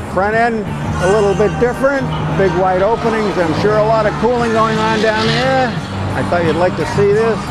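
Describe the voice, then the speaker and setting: The speech moves at a moderate pace. Loud music plays in the background, and the sound is dry with no echo. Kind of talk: casual vlog commentary. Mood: enthusiastic, admiring. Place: street. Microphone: phone near.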